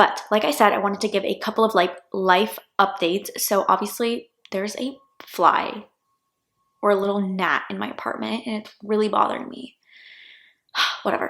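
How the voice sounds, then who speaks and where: Soft-spoken with an American accent, a woman talks at a medium pitch and moderate pace, her intonation fairly even, with big swings in loudness and long, frequent pauses. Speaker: law student vlogger. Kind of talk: casual vlog chat. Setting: at home in apartment.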